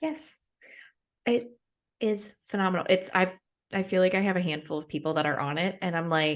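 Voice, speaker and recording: A woman's medium-pitched voice in an American accent, with lively intonation at a moderate pace, long, frequent pauses and a quiet background. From United States. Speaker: podcast host. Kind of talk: casual chat.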